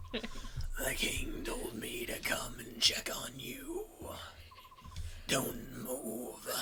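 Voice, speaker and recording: Whispering in a put-on character voice over loud background noise, a man speaks at a very slow pace with long, frequent pauses. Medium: machinima. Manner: calm, terse.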